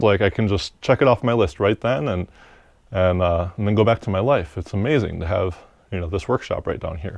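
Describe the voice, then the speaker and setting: In a relaxed tone, a man with a fairly low voice speaks at a fairly quick pace with ordinary pitch variation. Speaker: maker, workshop vlogger. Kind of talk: casual talk to camera. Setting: basement workshop, lapel mic. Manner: relaxed, hesitant.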